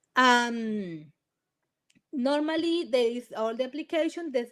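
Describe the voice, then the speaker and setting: Speaking in a Spanish accent, a woman uses a high pitch with very wide pitch swings. Her pace is fairly slow. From Colombia. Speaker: immigration lawyer. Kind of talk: webinar presentation. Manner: halting, many restarts.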